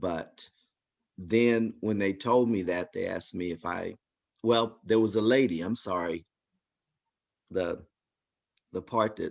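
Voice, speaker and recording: At a very slow pace with long, frequent pauses, a man talks at a fairly low pitch with ordinary pitch variation. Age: 60s. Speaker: community member sharing personal story. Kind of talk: testimony.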